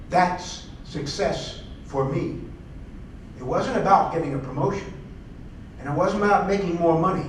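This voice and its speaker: Ordinary pitch variation comes through amid audible room echo and noticeable background noise. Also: man. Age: 70s. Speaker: distinguished guest speaker, former UN official. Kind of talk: lecture with audience Q&A. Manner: animated.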